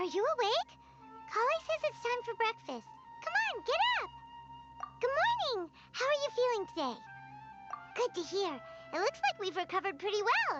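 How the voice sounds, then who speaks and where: An extremely high put-on character voice broken by long, frequent pauses, with loud music in the background. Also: moderate pace. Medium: video game.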